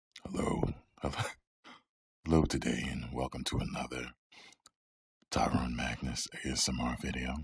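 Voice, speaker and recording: Soft-spoken and breathy, this put-on character voice moves at a moderate pace in a monotone, flat intonation, broken by long, frequent pauses. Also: man, very deep, low pitch for a man. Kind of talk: ASMR video host. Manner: intimate, seductive.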